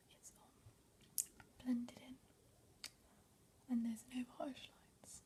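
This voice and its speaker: Soft-spoken whispering at a fairly slow pace. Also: woman. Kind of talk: ASMR makeup tutorial, casual talk to camera. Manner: whispered, soft-spoken.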